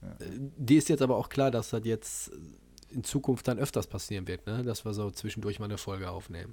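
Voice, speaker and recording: Fairly quick and somewhat breathy, a man speaks in a dark, mellow tone with ordinary pitch variation. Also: medium pitch for a man, big swings in loudness. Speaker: podcast host, martial arts trainer. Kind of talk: casual chat.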